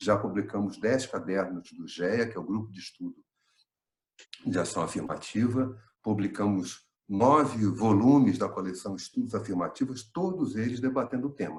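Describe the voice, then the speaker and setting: Big swings in loudness mark a man's somewhat breathy delivery at a medium pitch. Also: ordinary pitch variation, moderate pace. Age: 60s. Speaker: retired professor and researcher. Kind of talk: online panel talk.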